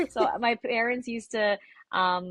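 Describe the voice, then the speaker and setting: A woman speaks with a Canadian accent and ordinary pitch variation. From Canada, Scarborough, Toronto. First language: Tagalog. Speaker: R&B singer. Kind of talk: interview. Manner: many fillers and repetitions.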